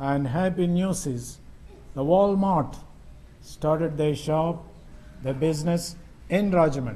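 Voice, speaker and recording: This man's voice sits at a fairly high pitch. He talks at a fairly slow pace with fairly even intonation. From India. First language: Telugu. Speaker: missionary preacher. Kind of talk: sermon. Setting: church. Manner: halting. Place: church. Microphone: podium.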